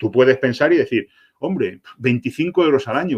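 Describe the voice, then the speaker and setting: A man's very fast, fairly high-pitched speech with lively intonation. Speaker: product manager. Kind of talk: webinar Q&A presentation. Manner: animated.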